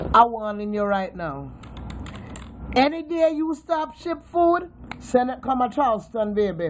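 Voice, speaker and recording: A woman with a Jamaican accent, high pitch and very wide pitch swings, at a fairly slow pace with long, frequent pauses and noticeable background noise. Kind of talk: casual talk to camera. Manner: playful, teasing.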